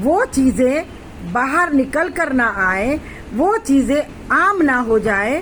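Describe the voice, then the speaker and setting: A woman's high voice with very wide pitch swings, against noticeable background noise. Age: 60s. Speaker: social commentator. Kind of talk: political monologue. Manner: impassioned.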